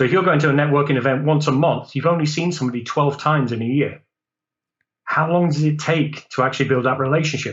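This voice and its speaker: With an English accent, a man speaks very fast in a fairly high, somewhat breathy voice, his loudness very even and his intonation fairly even. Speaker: business owner and networking group director. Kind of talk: casual podcast discussion.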